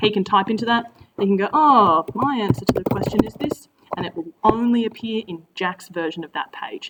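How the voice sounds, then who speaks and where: A woman speaks in an Australian accent. Loud background noise fills the clip. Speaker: teacher. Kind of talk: tutorial. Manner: fast; casual.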